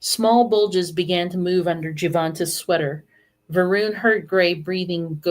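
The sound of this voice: An unforced reading voice sounds out over a quiet background.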